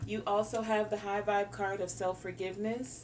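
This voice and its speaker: A woman with a slight Southern US accent and medium pitch, over noticeable background noise. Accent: slight Southern twang. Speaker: tarot reader. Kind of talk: pick-a-card tarot reading. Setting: on camera. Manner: animated.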